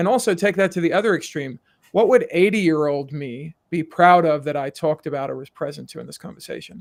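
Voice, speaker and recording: Pitched fairly high, a man speaks at a very fast pace, the sound dry and close with no echo. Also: ordinary pitch variation, big swings in loudness. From South Africa. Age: middle-aged. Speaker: executive coach. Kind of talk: podcast interview.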